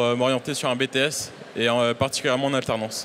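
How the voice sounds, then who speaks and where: With a bright, sharp tone, a man's voice sits at a medium pitch. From Réunion. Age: 20s. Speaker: bus maintenance apprentice. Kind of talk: interview. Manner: hesitant, many fillers.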